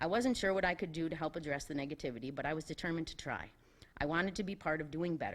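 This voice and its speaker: Very fast speech from a woman with a very deep, low pitch, ordinary pitch variation, and an American accent. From US Northeast, New York Capital District. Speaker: school board candidate. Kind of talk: prepared speech. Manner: loud.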